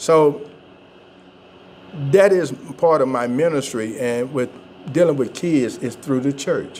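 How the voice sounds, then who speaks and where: A man with a Georgia accent speaks at a fairly slow pace, with long, frequent pauses and ordinary pitch variation. Background noise is noticeable. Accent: Southern US (Georgia). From US South, Georgia (Thomaston). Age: 60s. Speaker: pastor. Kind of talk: interview. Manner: halting.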